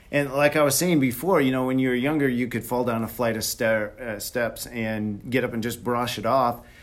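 A man with an unremarkable speaking voice, medium pitch, moderate pace and fairly even intonation. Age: 50s. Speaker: high school wrestling referee, wellness show guest. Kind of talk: casual chat.

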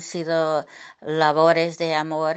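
A woman with an English accent at a very slow pace. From US, Brooklyn, New York. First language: English (speaking Spanish). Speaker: bullfighting journalist and writer. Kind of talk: interview. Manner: hesitant with many fillers.

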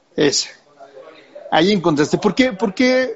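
Speaking fairly quickly, a man talks in a Mexican accent. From Mexico. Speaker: podcast host. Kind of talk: interview. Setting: live video stream.

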